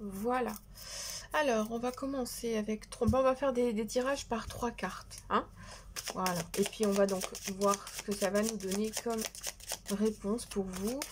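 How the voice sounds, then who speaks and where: A woman's somewhat breathy voice at a fairly slow pace, broken by long, frequent pauses. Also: fairly high pitch for a woman. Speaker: tarot card reader. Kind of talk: tarot reading. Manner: soft-spoken; hesitant.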